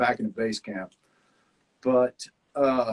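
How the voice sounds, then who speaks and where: A fairly high-pitched man with a Southern US accent, recorded with a dry, close sound and no echo. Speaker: survival reality show contestant. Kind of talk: casual chat.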